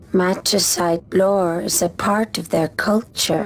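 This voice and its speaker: The speaker uses a put-on character voice in a calm tone. Clear music plays in the background. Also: female-sounding voice. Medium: video game. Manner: calm, measured, sparing with words.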